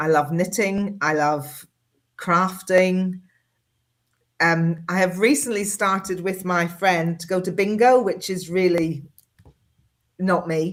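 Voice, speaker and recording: Long, frequent pauses break up a woman's very slow, medium-pitched speech with fairly even intonation. The recording is very clean, with a silent background. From Northern Ireland. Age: 50s. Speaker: engineer and medical radiographer. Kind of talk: podcast interview answer.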